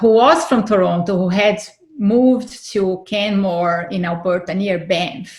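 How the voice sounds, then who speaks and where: Speaking at a fairly slow pace, a woman with a non-native accent has a medium-pitched voice. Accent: foreign accent, noticeable. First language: not English. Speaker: fertility advocate and author. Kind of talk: interview, personal testimony.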